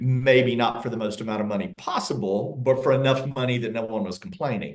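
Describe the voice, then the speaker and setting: A man with a Southern accent speaks at a medium pitch. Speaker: real estate agent. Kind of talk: interview.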